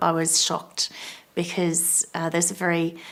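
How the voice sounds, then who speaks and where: In an Australian accent, a woman speaks fairly slowly with a fairly low pitch and flat, monotone intonation. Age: 40s. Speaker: cancer survivor. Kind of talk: testimony. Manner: halting.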